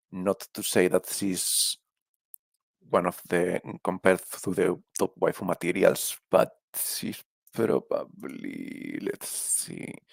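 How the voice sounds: A man with a Spanish accent speaks slowly in a low pitch with little pitch movement, vocal fry, and a slightly husky edge. The sound is dry and close, with no echo.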